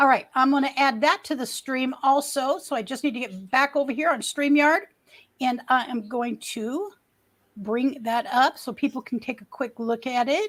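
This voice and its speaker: A woman speaks at a moderate pace in a high voice with ordinary pitch variation, on a very clean recording with a silent background. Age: 60s. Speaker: livestreamer. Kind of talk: casual chat. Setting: livestream.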